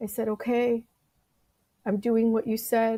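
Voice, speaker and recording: A dark, mellow tone with an American accent, monotone and flat in intonation, at a fairly slow pace. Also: woman. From US West Coast, San Francisco Bay Area. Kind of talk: testimony.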